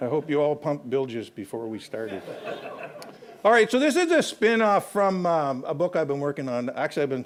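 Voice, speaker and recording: A man with a Canadian accent, fairly high in pitch, talking fairly quickly with very wide pitch swings. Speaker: historian. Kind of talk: lecture.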